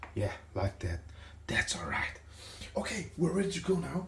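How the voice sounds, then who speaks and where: Soft-spoken and somewhat breathy, a man talks. His pitch swings very widely. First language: not English. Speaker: retro computer YouTuber. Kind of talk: tutorial. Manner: casual and chatty.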